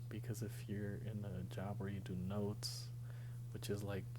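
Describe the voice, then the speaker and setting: A man's fairly low voice at a moderate pace, flat and monotone, over noticeable background noise. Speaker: ASMR creator; graduate student training to be a social worker/therapist. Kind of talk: whispered life update ramble to camera. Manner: soft-spoken, whispering, casual.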